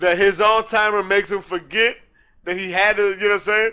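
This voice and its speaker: In a very clean recording with a silent background, a man projects a raised voice at a high pitch in a bright, sharp tone, with ordinary pitch variation and a moderate pace. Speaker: podcast co-host. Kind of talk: casual chat. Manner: animated.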